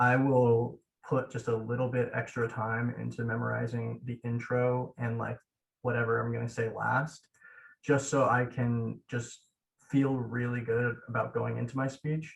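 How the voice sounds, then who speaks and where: A man speaks slowly-ish, at a fairly slow pace and medium pitch. His voice is somewhat breathy and his intonation monotone and flat. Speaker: law student mock trial competitor. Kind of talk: casual interview chat.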